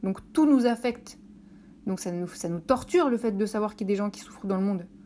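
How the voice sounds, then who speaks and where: A woman's fairly high voice, very fast, with lively intonation. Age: 30s. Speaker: podcaster. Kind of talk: solo podcast monologue. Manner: hesitant, many filler words.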